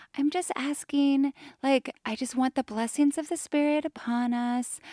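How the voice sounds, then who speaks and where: A female-sounding, put-on character voice with a Utah accent comes across breathy and soft-spoken at a high pitch and moderate pace, on a very clean recording with a silent background. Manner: soft, breathy, sweet.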